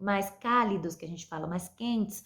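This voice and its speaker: A woman's voice with ordinary pitch variation. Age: 20s. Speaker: university film student. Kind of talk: mini-lesson for school pupils. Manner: halting, many fillers.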